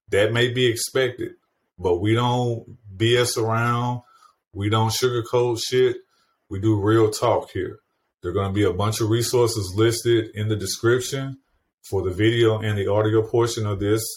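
A man's medium-pitched, somewhat breathy voice in a monotone, flat intonation at a moderate pace, on a very clean recording with a silent background. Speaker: podcast host. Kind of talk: interview, conversational.

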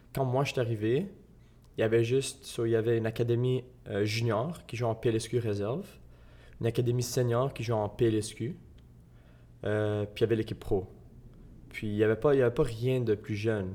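Recorded very cleanly against a silent background, a man with a somewhat breathy, dark, mellow tone speaks at medium pitch and a moderate pace, his intonation fairly even and marked by long, frequent pauses. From Quebec, Gatineau. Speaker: soccer player. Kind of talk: interview.

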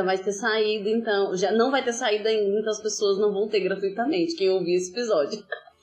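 Her voice is a normal speaking voice, medium in pitch with ordinary pitch variation. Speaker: podcast host. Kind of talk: casual interview chat. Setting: remote recording during pandemic. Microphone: poor audio quality, heavily edited.

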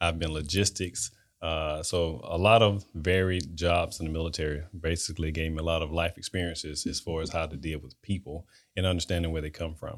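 This very clean recording, with a silent background, moves at a fairly quick pace. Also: man, very deep, low pitch for a man, fairly even intonation. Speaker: life coach and retired military officer. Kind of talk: casual interview. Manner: hesitant, many fillers.

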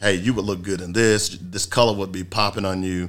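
In a very clean recording with a silent background, a man speaks at a fairly quick pace, his fairly low voice carrying a bright, sharp tone. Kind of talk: radio promo voice-over, polished station ad read. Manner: brisk, upbeat, punchy announcer delivery.

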